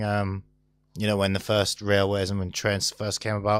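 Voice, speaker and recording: A man's fairly low voice at a moderate pace, in a very clean recording with a silent background. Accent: Teesside. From northern England, Stockton-on-Tees. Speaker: talk show co-host. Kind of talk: casual chat.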